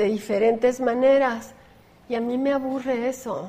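A woman speaks in a high voice with fairly even intonation. Noticeable background noise runs behind her. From Chihuahua, northern Mexico. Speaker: visual artist. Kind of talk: interview.

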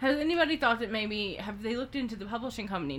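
A woman with a slight Southern US accent, fairly high in pitch, talking very fast with lively intonation. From US South. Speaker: podcast co-host. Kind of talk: casual chat. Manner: low-energy, joking.

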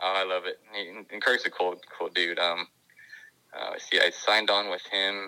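Speaking in an American accent at a moderate pace, a man with a fairly low pitch keeps a monotone, flat intonation while his loudness swings widely. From California. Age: 30s. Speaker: obstacle course racer. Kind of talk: casual chat.

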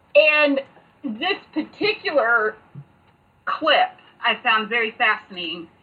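A woman speaks with lively intonation at a high pitch. Background noise is noticeable. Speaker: podcast co-host. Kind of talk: casual chat.

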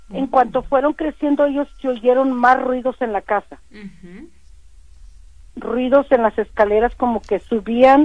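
A woman's high-pitched voice, fairly slow and fairly even in intonation. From Matamoros, Tamaulipas, Mexico. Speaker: caller. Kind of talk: phone-in story.

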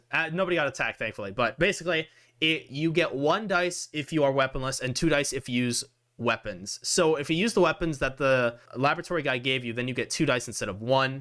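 With lively intonation, a man with a fairly high voice races along at a very fast pace. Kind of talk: dramatic narration of a tabletop story, scene-setting; game master running a tabletop roleplaying podcast. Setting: recorded podcast, online play with chat. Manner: narrative storyteller pacing, descriptive, building the scene.

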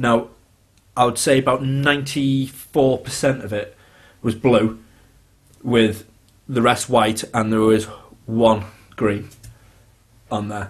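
A somewhat breathy man speaks at a very slow pace. He leaves long, frequent pauses. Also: medium pitch for a man. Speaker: podcast host. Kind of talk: casual chat.

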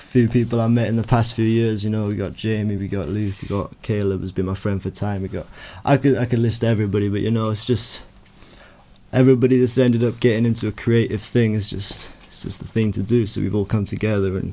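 Speaking at a very fast pace in a Welsh accent, the man uses a fairly low pitch and a monotone, flat intonation. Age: young. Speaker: rapper. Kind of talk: casual chat.

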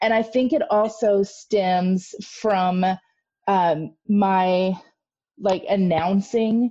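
The voice, somewhat breathy with a dark, mellow tone, carries an American accent. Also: woman. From US Midwest. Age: 30s. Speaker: podcast co-host. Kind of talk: casual chat, storytelling. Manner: animated, excitable.

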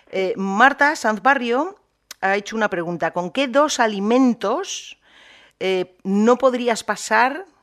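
A woman's fairly high voice, very slow in pace yet lively in intonation. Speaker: podcast host. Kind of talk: interview.

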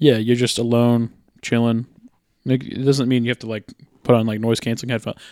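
A dark, mellow tone in monotone, flat intonation, at a fairly quick pace with long, frequent pauses, in a very clean, dry, close recording with no echo and a silent background. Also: man, medium pitch for a man. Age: 20s. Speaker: podcast host. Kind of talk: casual chat.

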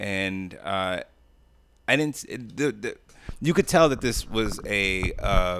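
In a very clean recording with a silent background, a man with a bright, sharp tone speaks at a fairly slow pace. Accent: New York. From Jamaica, Queens, New York City. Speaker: podcast guest, wrestling commentator. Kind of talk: casual chat.

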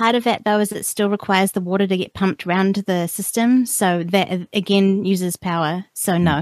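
Speaking with a New Zealand accent, a woman keeps a medium pitch, a moderate pace and fairly even intonation, with hardly any pauses. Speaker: podcaster living off the grid. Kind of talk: casual interview chat. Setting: remote call.

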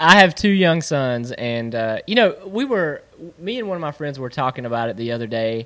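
Amid noticeable background noise, a man speaks at a moderate pace with a fairly high pitch and very wide pitch swings. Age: 40s. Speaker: podcast host. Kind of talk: interview.

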